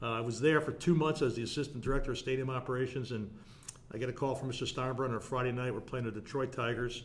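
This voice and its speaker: Delivered very fast, the speech keeps a fairly even intonation. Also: man, medium pitch for a man. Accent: American. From New Jersey (South Orange). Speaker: stadium facility manager and lecturer. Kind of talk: casual interview.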